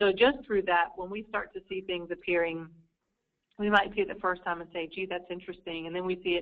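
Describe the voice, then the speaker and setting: A woman with a fairly low pitch speaks in an American accent, her intonation monotone and flat. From United States. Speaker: market research analyst. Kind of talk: webinar Q&A. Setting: online webinar. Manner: hesitant, many fillers.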